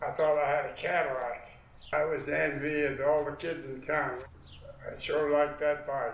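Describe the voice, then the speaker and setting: A fairly high-pitched man's voice at a fairly slow pace, with noticeable background noise. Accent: American. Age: old. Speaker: war veteran. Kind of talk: interview answer.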